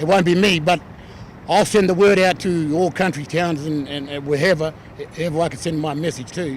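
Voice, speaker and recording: With noticeable background noise behind him, a man speaks at a moderate pace, fairly high in pitch, his intonation fairly even. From Australia. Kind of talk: protest interview. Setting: outdoors at a rally.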